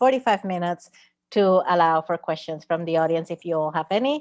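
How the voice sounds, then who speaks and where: A woman's fairly low-pitched voice comes through with a dry, close sound, no echo and a quiet background. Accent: Spanish. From Puerto Rico. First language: Spanish. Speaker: theatre artist and moderator. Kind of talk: panel discussion. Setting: live stream.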